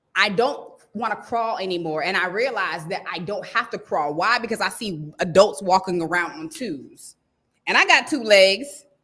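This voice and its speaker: A woman's animated, medium-pitched voice with a bright, sharp tone, lively intonation, big swings in loudness and a moderate pace. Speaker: stylist coach. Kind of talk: live stream motivational talk. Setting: livestream.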